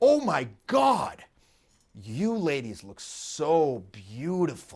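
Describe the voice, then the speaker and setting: Putting on a character voice, a man speaks very slowly at a fairly high pitch. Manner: sarcastic, mock-gushing.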